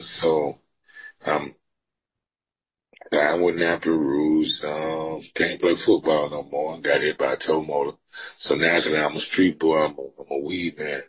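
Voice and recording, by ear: Delivered at a fairly slow pace, the voice has a slightly husky edge and little pitch movement. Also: man, extremely low pitch for a man.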